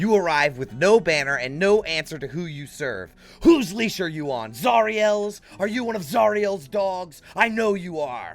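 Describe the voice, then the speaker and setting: A man does a put-on character voice at a high pitch, talking at a moderate pace with hardly any pauses. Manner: angry, grinding.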